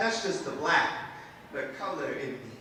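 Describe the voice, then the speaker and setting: A man uses a raised, projected voice at a fairly slow pace. Noticeable background noise is present. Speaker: spoken word poet. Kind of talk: live spoken word performance.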